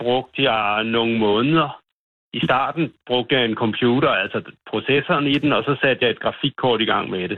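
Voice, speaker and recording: A man uses an ordinary speaking voice at medium pitch. He keeps a moderate pace with ordinary pitch variation. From North Zealand, Denmark. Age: 50s. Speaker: farmer. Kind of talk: phone interview. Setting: phone call.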